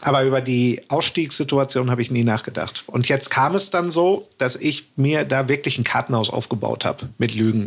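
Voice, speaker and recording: A man's normal speaking voice, medium in pitch, with ordinary pitch variation and a moderate pace. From Hamburg, northern Germany. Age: 40s. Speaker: podcast guest telling own fraud story. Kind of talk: personal storytelling in casual chat.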